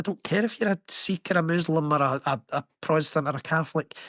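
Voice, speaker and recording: Here a man talks in a Glaswegian accent. His pitch is high, and his pace is moderate. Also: dry, close sound with no echo, quiet background. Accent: Glaswegian Scottish. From Scotland, Glasgow. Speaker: construction worker. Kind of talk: podcast interview. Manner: animated.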